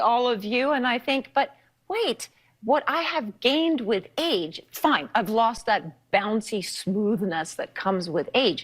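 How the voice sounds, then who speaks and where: A normal speaking voice moves at a fairly slow pace with lively intonation. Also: woman. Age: 50s. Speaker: talk show guest. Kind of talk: talk show discussion.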